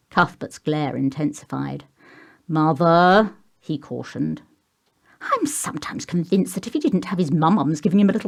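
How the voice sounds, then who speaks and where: A woman with an English accent speaks at a moderate pace with lively intonation. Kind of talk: audiobook reading.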